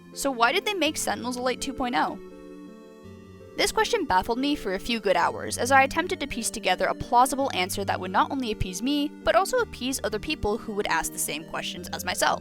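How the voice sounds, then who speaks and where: A woman at a very fast pace, with music in the background. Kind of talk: opinion commentary video. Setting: low-quality microphone with mouse clicks. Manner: casual, talkative.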